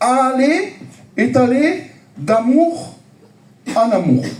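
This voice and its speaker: An extremely high-pitched man with lively intonation and audible room echo. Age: 50s. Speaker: preacher. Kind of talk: sermon. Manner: animated.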